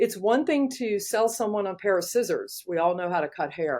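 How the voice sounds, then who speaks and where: A normal speaking voice with an American accent, lively intonation and a moderate pace over a quiet background. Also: woman. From US South, Georgia. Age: 60s. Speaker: hairstylist and educator. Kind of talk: interview. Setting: podcast.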